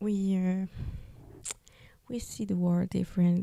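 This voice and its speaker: A woman speaks with a Spanish accent while music plays in the background. The sound is dry and close, with no echo. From Peru. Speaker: podcast host, artist. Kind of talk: personal testimony podcast. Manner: halting, many fillers.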